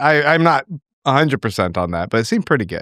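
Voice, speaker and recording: Vocal fry runs through a man's voice as it makes very wide pitch swings, recorded very cleanly, dry and close with no echo against a silent background. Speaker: podcast host. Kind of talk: casual chat.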